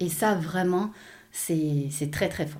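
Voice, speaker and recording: Her tone dark and mellow, a woman speaks at a very slow pace with ordinary pitch variation. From Belgium, Hainaut countryside. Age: 40s. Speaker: personal development coach. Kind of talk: interview, life story. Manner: halting, many repetitions.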